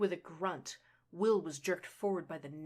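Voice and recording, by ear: A text read out naturally, with pitch rising and falling an ordinary amount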